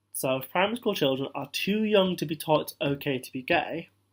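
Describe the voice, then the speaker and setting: A man with a British accent speaks at a high pitch with lively intonation. The recording is very clean, with a silent background. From British Indian, Punjabi. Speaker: vlogger. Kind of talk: casual talk to camera.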